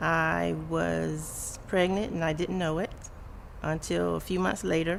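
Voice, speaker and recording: Speaking at a fairly slow pace with very even loudness, a woman is heard with audible room echo. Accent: American. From Florida, West Palm Beach. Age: 40s. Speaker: parent of abused child. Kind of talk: interview testimony.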